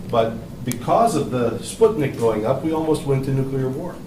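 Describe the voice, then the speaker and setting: A man talks at a fairly quick pace and medium pitch with ordinary pitch variation. Audible room echo and noticeable background noise surround him. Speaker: electrical engineer. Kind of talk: classroom commentary. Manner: loud.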